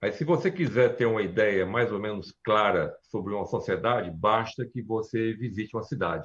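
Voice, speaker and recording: A man with a fairly low pitch talks at a fairly slow pace. His pitch variation is ordinary. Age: 60s. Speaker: architect and urban planner. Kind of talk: interview on a live stream. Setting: live stream. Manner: halting, many fillers and restarts.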